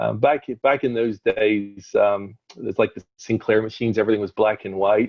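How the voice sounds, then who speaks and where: Speaking at a moderate pace with hardly any pauses, a man uses a fairly low pitch and a slight Northern Irish accent. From Northern Ireland. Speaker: company CEO. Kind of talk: interview conversation. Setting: video call via cell phone. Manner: hesitant, many fillers. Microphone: unstable internet connection.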